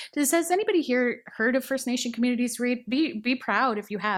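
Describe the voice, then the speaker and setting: With a Canadian accent, a normal speaking voice moves at a moderate pace on a very clean recording with a silent background. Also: woman. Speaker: library director. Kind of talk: conference panel presentation.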